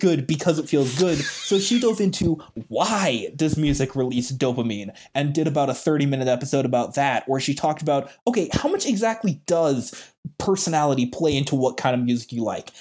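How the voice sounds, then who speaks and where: Fairly quick and lively in intonation, a man with an American accent speaks at a fairly high pitch in an animated tone, his loudness very even. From US West, Oregon and Arizona. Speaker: podcaster and piano teacher. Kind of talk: interview.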